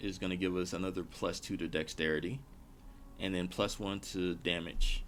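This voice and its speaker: The pitch rises and falls in an ordinary way. Behind the voice, music is playing. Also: man. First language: not English. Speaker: gaming streamer. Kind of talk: live gameplay stream commentary. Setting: live stream.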